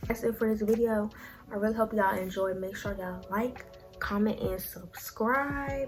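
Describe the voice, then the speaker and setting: Over music in the background, a woman speaks quietly in a raspy, put-on character voice. Her pitch is medium and her pace moderate. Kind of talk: casual, YouTuber sign-off. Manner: low, quiet.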